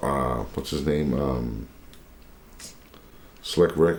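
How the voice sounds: A man speaks very slowly in an extremely low, raspy voice with a slightly mellow tone and ordinary pitch variation, and room echo is audible.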